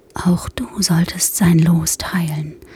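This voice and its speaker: The voice has a soothing tone over noticeable background noise. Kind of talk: bedtime story narration, ASMR. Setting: ASMR podcast for headphones. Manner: slow, soft, soothing, hushed and calming.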